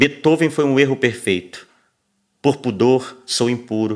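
A man with a Brazilian accent speaks with ordinary pitch variation against a quiet background. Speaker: poetry reader. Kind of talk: poetry reading aloud, quoting lines from a book. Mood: calm, reflective, soft. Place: studio.

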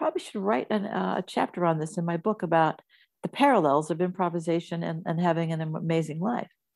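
With music in the background, a woman speaks at a fairly low pitch and a fairly quick pace. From US Midwest. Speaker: actress and comedian. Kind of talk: casual interview.

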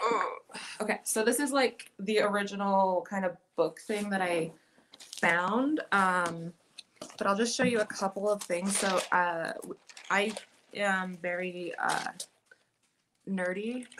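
Noticeable background noise runs under a woman speaking at a very slow pace. She leaves long, frequent pauses, and her pitch varies in an ordinary way. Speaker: photographer, former graduate student; guest. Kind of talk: casual presentation of own work. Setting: video call from home. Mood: enthusiastic, earnest. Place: home room.

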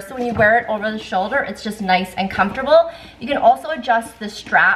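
A woman speaks with ordinary pitch variation. Light background noise sits behind her. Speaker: lifestyle vlogger. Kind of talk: casual haul vlog chat. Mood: cheerful, enthusiastic. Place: kitchen. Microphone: camera far.

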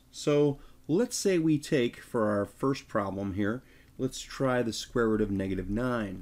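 On a very clean recording against total silence, a plain, everyday voice shows ordinary variation in pitch. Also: man. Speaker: math teacher. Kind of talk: tutorial.

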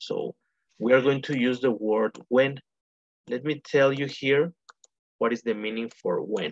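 Very slow pace, in a dry sound with no echo. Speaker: English teacher. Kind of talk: online lesson explanation. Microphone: video call.

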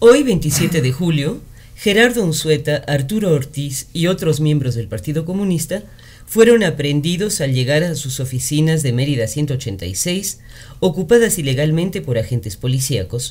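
At a moderate pace, a man speaks in a fairly high, somewhat breathy voice with very wide pitch swings. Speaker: radio chronicle narrator. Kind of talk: radio chronicle narration, historical news-style reading. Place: studio.

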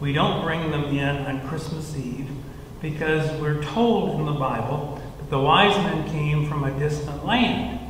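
A man at a fairly slow pace, with audible room echo and light background noise. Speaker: church minister or leader. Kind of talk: children's sermon style explanation. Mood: warm, gentle. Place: church. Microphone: headset.

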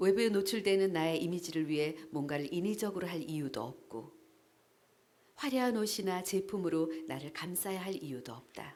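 Noticeable background noise runs behind a woman whose fairly low voice has lively intonation. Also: moderate pace. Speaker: voice actor. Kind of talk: essay reading. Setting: live event.

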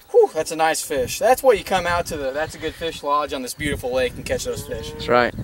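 A man at a fairly quick pace with hardly any pauses, in a dry sound with no echo and light background noise. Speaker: angler host. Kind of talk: casual fishing commentary. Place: waterside. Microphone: camera far.

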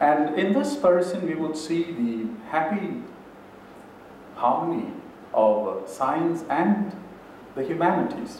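Against audible room echo and light background noise, a man speaks at a very slow pace with a high pitch. He leaves long, frequent pauses. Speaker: speaker. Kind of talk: lecture. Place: hall. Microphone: podium.

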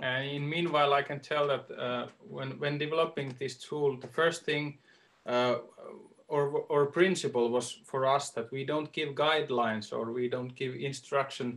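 A man's fairly high voice in a Finnish accent, with fairly even intonation and a moderate pace. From Finland. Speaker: arts agency advisor; workshop facilitator. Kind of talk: online workshop demonstration. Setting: video call. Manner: hesitant. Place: home room. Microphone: video call.

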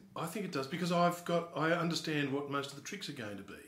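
A man talks at a very fast pace. There is audible echo in the room. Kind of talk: interview answer. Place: office. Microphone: camera far.

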